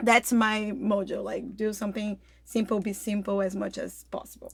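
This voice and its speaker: A woman speaks at a moderate pace in a fairly high voice with vocal fry. Her intonation is monotone and flat. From Brazil, Rio de Janeiro. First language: Portuguese. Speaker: health coach. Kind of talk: casual interview. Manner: hesitant, many fillers.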